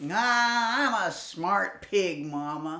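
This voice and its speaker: A female-sounding voice at a middle pitch performs a put-on character voice. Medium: read story. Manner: naive, boastful.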